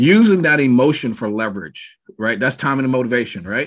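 Moderate pacing from a male speaker. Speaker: real estate team coach. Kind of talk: training talk on a video call. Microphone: webcam.

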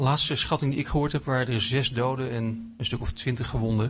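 With light background noise behind him, a man speaks in a somewhat breathy voice with fairly even intonation. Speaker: philosophy lecturer. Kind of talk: lecture. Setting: stage with audience. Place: hall. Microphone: podium.

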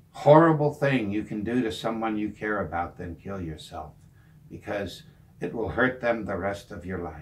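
A man talks at a moderate pace with lively intonation. His fairly low voice is somewhat breathy. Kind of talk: personal talk to camera. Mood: serious, heartfelt. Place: home room.

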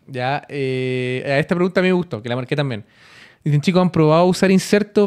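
The background stays quiet. A man delivers his words fairly quickly, with lively intonation. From Chile. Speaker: podcast co-host. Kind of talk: casual chat. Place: studio. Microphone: studio mic.

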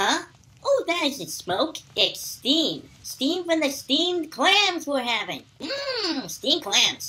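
In a cartoonish character voice pitched extremely high, a man speaks at a very slow pace. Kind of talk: comic overacting cartoon voice.

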